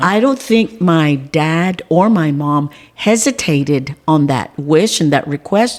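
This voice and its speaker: A woman with a very deep, low pitch speaks at a very slow pace with an American accent. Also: lively intonation, very even loudness. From South Texas (Beeville, Live Oak County). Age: 60s. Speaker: school board member and community figure. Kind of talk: casual interview conversation.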